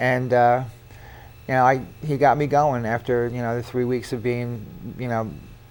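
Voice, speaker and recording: A man with an American accent talks in a monotone, flat way, leaving long, frequent pauses. Audible room echo surrounds his voice. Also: medium pitch for a man, moderate pace. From New York, Westchester. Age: 60s. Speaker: military veteran. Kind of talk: interview.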